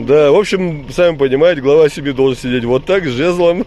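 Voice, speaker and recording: Noticeable background noise accompanies a man's speech. He talks at a fairly quick pace with ordinary pitch variation. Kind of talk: casual commentary to camera.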